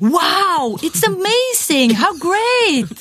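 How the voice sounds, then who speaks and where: This put-on character voice sits at an extremely high pitch. It swings very widely up and down. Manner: gushing, enthusiastic.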